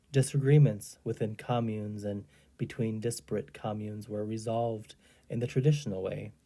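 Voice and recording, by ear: This is someone reading aloud in a natural voice. The delivery stays unforced throughout.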